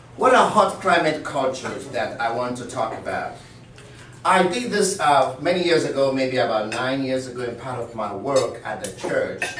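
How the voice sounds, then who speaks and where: Lively intonation at a moderate pace comes through noticeable background noise and audible room echo. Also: man, medium pitch for a man. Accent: Sierra Leonean. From Sierra Leone. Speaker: speaker at a meeting, mission worker. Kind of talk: presentation to an audience. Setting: room with audience.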